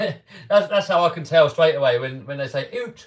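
Against a quiet background, a man speaks at a moderate pace in a fairly high, somewhat breathy voice. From England. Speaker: RC car YouTuber. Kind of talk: live stream chat. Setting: live stream. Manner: casual, chatty. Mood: cheerful, laughing. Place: workshop.

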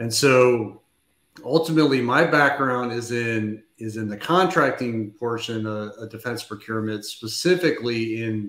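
A man speaks at a moderate pace with an American accent, medium pitch, and ordinary pitch variation. His loudness swings widely, and there is audible room echo. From US, Denver area; Colorado. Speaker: defense acquisition consultant; guest. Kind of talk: panel discussion. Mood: relaxed, enthusiastic.

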